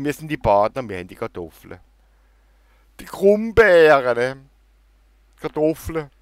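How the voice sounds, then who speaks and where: Against a quiet background, a fairly high-pitched man speaks at a fairly slow pace with very wide pitch swings and long, frequent pauses. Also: big swings in loudness, dry sound with no echo. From Germany, Baden. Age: middle-aged. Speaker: YouTuber. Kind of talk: casual Q&A vlog. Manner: animated. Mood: joking, self-mocking. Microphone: headset.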